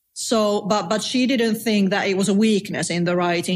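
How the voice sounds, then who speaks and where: In a Finnish accent, a woman talks at a moderate pace with fairly even intonation. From Finland. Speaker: novelist. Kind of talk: casual chat.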